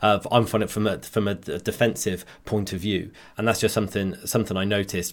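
A man speaks very fast with a West Country accent and a fairly low pitch. His intonation stays flat and monotone. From West Country, England. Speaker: video game streamer. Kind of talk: casual chat.

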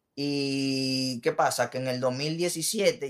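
A man talks in a normal speaking voice. His pitch is medium, with ordinary variation. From Puerto Rico and Dominican Republic. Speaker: musician and sound technician. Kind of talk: casual interview.

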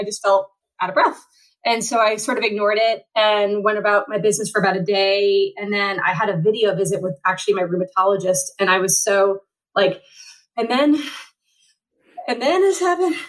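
A woman speaks in a normal speaking voice at medium pitch and a fairly quick pace, with ordinary pitch variation. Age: 40s. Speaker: paratriathlete. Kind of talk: interview.

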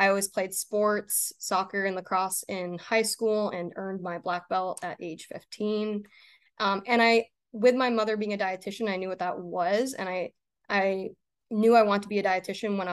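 Speaking at a moderate pace with a plain, everyday voice, a woman with an American accent keeps a medium pitch and fairly even intonation against a quiet background. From Maine, US. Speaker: sports dietitian. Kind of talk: interview.

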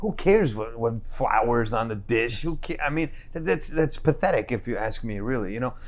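With a New Jersey accent, a man talks at a moderate pace with lively intonation and hardly any pauses. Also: medium pitch for a man. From New Jersey, Newark. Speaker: chef and restaurant owner. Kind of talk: casual chat.

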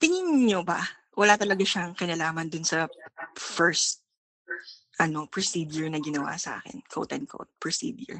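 Her loudness swings widely and her intonation is lively, with long, frequent pauses. The woman has a fairly low pitch and keeps a moderate pace. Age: 30s. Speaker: caller. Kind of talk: phone-in question.

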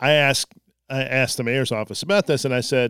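The recording is very clean, with a silent background and a dry, close sound with no echo. A man with an ordinary speaking voice talks at a fairly quick pace. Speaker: newspaper editor. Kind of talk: casual chat. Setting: studio.

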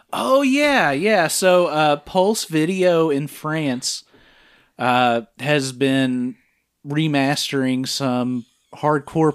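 A man speaks at a very slow pace in a very clean recording against a silent background. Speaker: podcast host. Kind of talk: casual chat, film review podcast.

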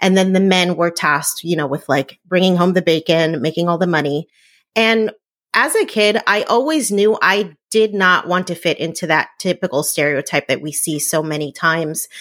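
A woman's normal speaking voice, fairly low in pitch, at a moderate pace with ordinary pitch variation, on a very clean recording with a silent background. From New Jersey, Puerto Rican family. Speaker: entrepreneur and blogger. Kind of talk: interview.

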